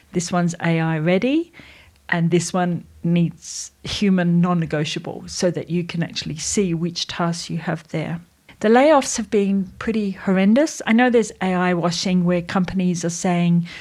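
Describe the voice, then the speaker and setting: On a very clean recording with a silent background, a woman speaks at a moderate pace and a fairly low pitch in an Australian accent. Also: ordinary pitch variation. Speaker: AI strategist and educator. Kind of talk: tutorial. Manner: conversational.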